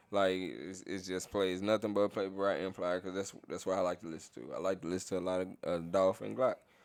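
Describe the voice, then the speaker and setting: A man with a very deep, low voice, fairly even intonation and hardly any pauses. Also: fairly quick pace. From Mississippi, near Memphis. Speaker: podcast co-host. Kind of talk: casual chat.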